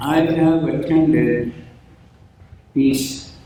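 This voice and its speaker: A man with an American accent at a very slow pace, with audible room echo. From Blackfeet Nation, Montana. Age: 90s. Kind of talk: ceremonial speech. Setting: memorial ceremony in expo center.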